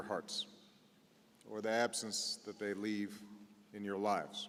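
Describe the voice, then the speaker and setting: A man with an American accent, at a fairly slow pace. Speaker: politician, president. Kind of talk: eulogy speech. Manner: solemn, measured.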